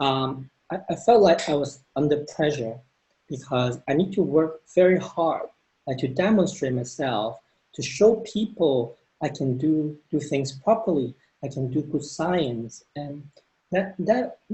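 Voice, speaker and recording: This man talks at a fairly slow pace, his pitch fairly high. His intonation is lively and his voice somewhat breathy. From Hong Kong. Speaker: neuroscientist. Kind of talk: panel discussion. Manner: hesitant, many fillers and repetitions.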